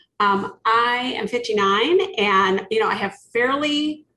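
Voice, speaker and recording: A bright, sharp tone comes through against a quiet background. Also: woman. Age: 50s. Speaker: podcast host and leadership coach. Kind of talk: casual interview chat.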